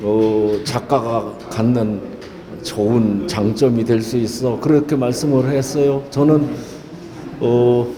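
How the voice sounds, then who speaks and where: The speech is very slow, with fairly even intonation and very even loudness. Noticeable background noise and audible room echo surround it. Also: man, medium pitch for a man. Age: 70s. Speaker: painter and poet. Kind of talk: interview. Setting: gallery exhibition opening. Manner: halting, many filler sounds.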